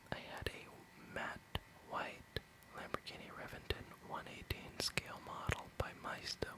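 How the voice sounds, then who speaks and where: Whispering comes through over noticeable background noise. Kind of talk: ASMR Hot Wheels collection review, casual talk to camera. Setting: studio, close microphone. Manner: whispered, soft-spoken.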